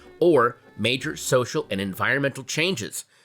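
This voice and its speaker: With music in the background, a man with an American accent speaks at a moderate pace in a fairly high voice with lively intonation. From United States. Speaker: comedian, actor, podcast host. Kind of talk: history podcast narration for kids.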